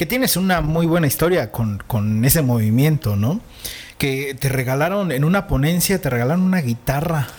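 A man's lively intonation and moderate pace stand out against noticeable background noise. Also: fairly high pitch for a man. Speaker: podcast host. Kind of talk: casual interview. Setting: studio.

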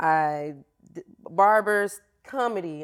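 In a plain, everyday voice, a woman with an American accent talks at a fairly slow pace with ordinary pitch variation. The recording is very clean, with a silent background. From Florida. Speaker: fitness coach. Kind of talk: interview conversation.

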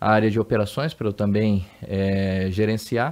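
A man with a normal speaking voice, medium pitch, and a moderate pace against a quiet background. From Brazil, Amazonas. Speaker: logistics executive. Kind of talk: interview.

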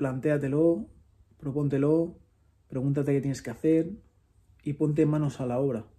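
A man with a fairly high pitch and a dark, mellow, somewhat breathy tone speaks at a moderate pace with fairly even intonation and long, frequent pauses. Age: 30s. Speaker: podcast host. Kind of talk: solo monologue. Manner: reflective.

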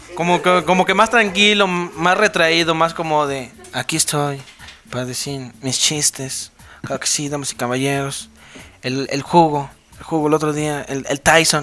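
Through noticeable background noise, a man with a fairly high voice talks at a fairly slow pace, his loudness swinging widely. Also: ordinary pitch variation. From San Luis Potosí, Mexico. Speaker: podcast co-host. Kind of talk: casual chat.

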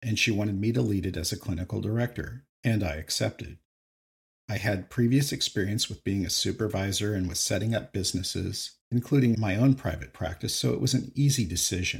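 Speaking at a fairly quick pace, a man uses a fairly low voice with vocal fry and lively intonation. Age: 50s. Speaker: podcast host, retired psychotherapist. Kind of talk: solo monologue podcast.

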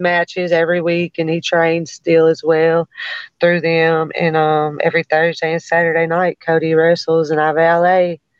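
In an American accent, a woman with a fairly low pitch speaks at a moderate pace. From US South, Memphis. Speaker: rapper. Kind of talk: casual interview.

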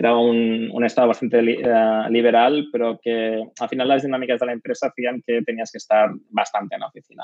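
A man talks in a monotone, flat intonation with hardly any pauses. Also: medium pitch for a man, fairly quick pace. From Spain, Catalonia (Barcelona). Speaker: head of design. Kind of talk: interview.

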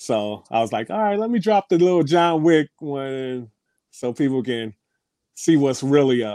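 Heard in a dry, close sound with no echo, a plain, everyday voice moves at a fairly slow pace with lively intonation. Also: man, fairly high pitch for a man. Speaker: DJ. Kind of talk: casual interview chat. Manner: laid-back, slangy.

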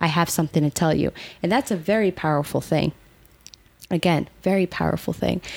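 The recording is very clean, with a silent background. A woman with vocal fry talks at a fairly quick pace with very even loudness and long, frequent pauses. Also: fairly low pitch for a woman, ordinary pitch variation. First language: not English. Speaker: podcast co-host. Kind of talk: casual chat.

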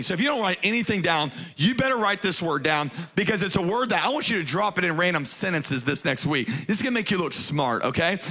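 With audible room echo, a man with an American accent projects a raised, animated voice at a high pitch with lively intonation. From US South, Baton Rouge, Louisiana. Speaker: pastor. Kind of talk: sermon. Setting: church stage with congregation.

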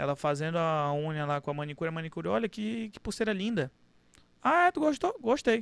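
A man's high-pitched, lively voice at a fairly quick pace, dry and close with no echo, in a very clean recording with a silent background. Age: 20s. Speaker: car dealership owner. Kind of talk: casual interview.

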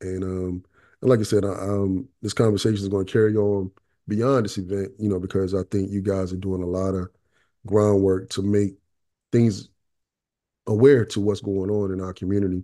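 Over a quiet background, a man with an eastern North Carolina accent speaks at a moderate pace in a fairly low, dark, mellow voice, his flat, monotone intonation broken by long, frequent pauses. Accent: US Southern, eastern North Carolina. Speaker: podcast host. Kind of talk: casual podcast interview.

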